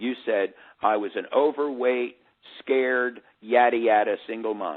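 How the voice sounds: A man with a medium pitch speaks at a fairly slow pace, his pitch varying in an ordinary way.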